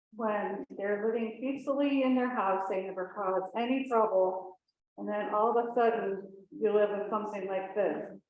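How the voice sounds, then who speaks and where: A woman with an American accent speaks at a fairly high pitch. Room echo is audible. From Danby area, upstate New York. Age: 60s. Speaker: local resident. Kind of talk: public comment at town board meeting. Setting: hybrid town board meeting room.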